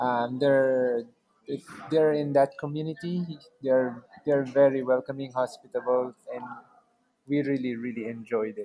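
A man's medium-pitched voice at a very slow pace, long and frequent pauses, fairly even intonation. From Philippines. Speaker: travel content creator and house sitter. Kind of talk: interview.

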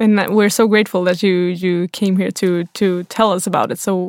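A woman speaks with a Swedish accent in a dry, close sound without echo, recorded very cleanly against a silent background. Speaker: podcast host. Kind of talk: interview; scripted intro. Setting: studio.

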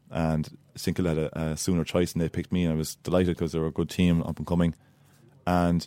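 In an Irish midlands accent, a man talks at a fairly quick pace with a very deep, low pitch and monotone, flat intonation on a very clean recording with a silent background. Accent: Irish (Laois). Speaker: Gaelic footballer, former Aussie Rules player. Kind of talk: interview.

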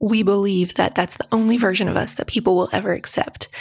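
The intonation stays fairly even, with an American accent. It is a normal speaking voice. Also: woman. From US South, rural West Virginia. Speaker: author. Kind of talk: interview.

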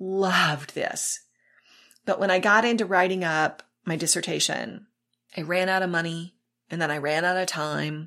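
A woman with an American accent in a plain, everyday voice, fairly low in pitch and fairly even in intonation, in a very clean recording with a silent background. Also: moderate pace. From South Texas. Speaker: pastor. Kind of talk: casual chat.

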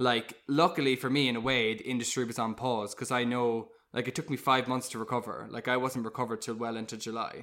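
A man with a Cork accent and a bright, sharp tone speaks at a very fast pace with hardly any pauses, using a medium pitch and fairly even intonation, on a very clean recording with a silent background. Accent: Cork Irish. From Ireland, Cork. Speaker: musical theatre actor. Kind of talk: casual chat.

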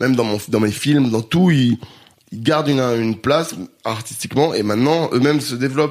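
A man with a plain, everyday voice at a medium pitch, fairly quick in pace, with ordinary pitch variation. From France, Grenoble area. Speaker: musician and entertainer. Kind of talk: casual chat.

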